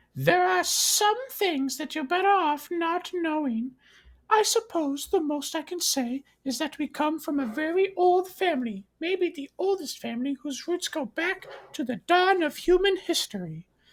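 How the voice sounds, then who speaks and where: A man puts on a squeaky character voice at an extremely high pitch and moderate pace, recorded very cleanly against a silent background. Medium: read story. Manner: measured, cryptic.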